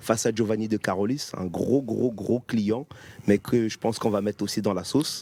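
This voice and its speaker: The voice has a dark, mellow tone and fairly even intonation in a Cameroonian accent, with a dry, close sound and no echo. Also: man, fairly low pitch for a man, moderate pace. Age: 30s. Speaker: professional boxer. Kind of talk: interview.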